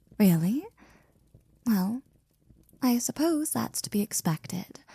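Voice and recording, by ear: A put-on character voice with a dark, mellow tone and a slightly husky edge moves at a slow pace with big pitch swings. The sound is dry and close with no echo. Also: woman, fairly high pitch for a woman.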